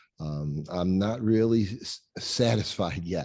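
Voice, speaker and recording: A man's very deep, low voice with a dark, mellow tone and lively intonation against a quiet background. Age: 60s. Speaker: retired educator. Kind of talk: casual interview conversation. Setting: live conversation in a barn. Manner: halting, with repetitions.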